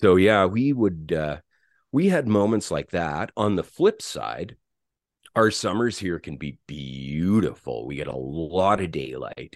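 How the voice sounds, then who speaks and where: Against a quiet background, a man with a very deep, low pitch speaks at a fairly slow pace, making very wide pitch swings and big swings in loudness. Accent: Western Canadian. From Alberta, Canada (St. Albert near Edmonton). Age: 50s. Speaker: musician, former bass player. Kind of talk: interview.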